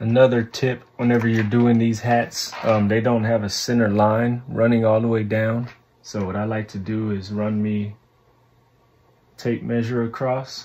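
Pitched fairly low, a man speaks in a slightly mellow tone with little pitch movement. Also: fairly slow pace.

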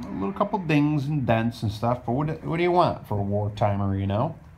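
Pitch swings very widely at a moderate pace. There is noticeable background noise. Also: man. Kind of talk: casual vlog chat. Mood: upbeat, pleased. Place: garage. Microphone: phone near.

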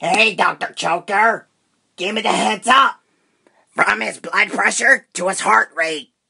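Using a cartoonish character voice, a man speaks at a fairly slow pace with a high pitch. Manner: bossy, scornful, profane.

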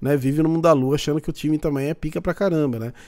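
A man's dark, mellow tone is heard against a quiet background. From Brazil. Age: 30s. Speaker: football YouTuber. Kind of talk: casual react commentary. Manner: animated. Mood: mocking, opinionated. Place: home room.

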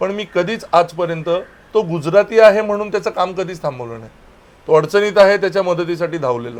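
A man's voice with ordinary pitch variation. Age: 30s. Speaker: local party official. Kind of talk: political interview.

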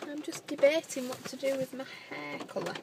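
A woman projects a raised voice at a moderate pace. The sound is dry with no echo, and noticeable background noise is present. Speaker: vlogger. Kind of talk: casual vlog chat. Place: car. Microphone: phone near.

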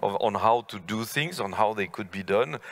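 Against a quiet background, a man with a fairly low pitch talks at a moderate pace with fairly even intonation in an unremarkable speaking voice. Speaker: panel moderator giving conclusion. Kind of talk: panel discussion remarks. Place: stage. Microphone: headset.

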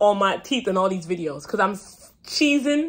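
A woman's voice with very wide pitch swings. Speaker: fashion and lifestyle content creator. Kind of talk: casual vlog talk to camera. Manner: chatty, self-interrupting.

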